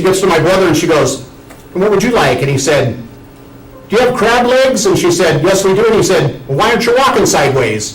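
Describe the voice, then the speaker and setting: Music plays behind a man speaking very fast, with audible room echo. His pitch swings very widely. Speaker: student giving a speech. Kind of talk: tribute speech. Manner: loud; animated.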